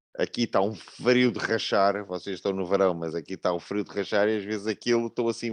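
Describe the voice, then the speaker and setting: In a European Portuguese accent, a man talks at a moderate pace with fairly even intonation and fairly low pitch. The sound is dry and close with no echo, over a quiet background. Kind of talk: online panel debate.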